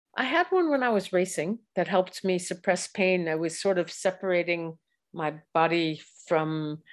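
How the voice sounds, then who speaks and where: A woman with an American accent speaks in a fairly low voice against a quiet background. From US Midwest, Chicago area. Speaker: cycling coach and former Olympic cyclist. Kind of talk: interview conversation. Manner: hesitant, many fillers.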